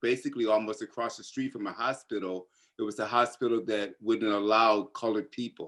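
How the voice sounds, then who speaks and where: A man's plain, everyday voice at a medium pitch, at a fairly quick pace. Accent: American. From US South, North Carolina. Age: 60s. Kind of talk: personal testimony in discussion.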